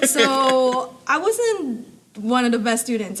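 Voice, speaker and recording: The speaker has a non-native accent and talks at a very slow pace. Noticeable background noise is present. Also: woman. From abroad, moved to US in high school. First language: not English. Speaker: supply chain expert and amateur racer. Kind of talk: interview conversation.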